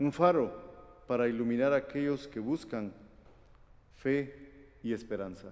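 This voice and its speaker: A man's fairly high, fairly slow delivery in a plain, everyday voice. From Guatemala. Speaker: preacher. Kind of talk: sermon.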